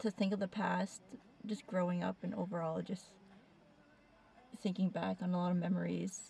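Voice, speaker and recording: A woman is whispering. She leaves long pauses, and they come often. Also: moderate pace. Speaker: vlogger. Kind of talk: personal video diary. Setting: in a car. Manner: halting.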